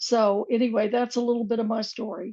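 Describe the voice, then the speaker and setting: High pitch from a woman speaking. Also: dry, close sound with no echo. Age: 70s. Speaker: psychiatric nurse and ET experiencer. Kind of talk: panel introduction. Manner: halting.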